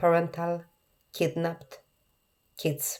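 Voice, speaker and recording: A woman's dark, mellow tone at a fairly low pitch. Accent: Polish. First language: Polish. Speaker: therapist or coach for alienated parents. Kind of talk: podcast monologue. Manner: earnest, repetitive emphasis.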